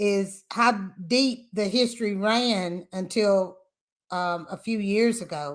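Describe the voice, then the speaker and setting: On a very clean recording with a silent background, a woman with a Tennessee accent speaks with ordinary pitch variation. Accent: Southern US (Tennessee). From US South, Lynchburg, Tennessee. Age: 60s. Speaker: whiskey brand family representative. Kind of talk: interview. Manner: halting.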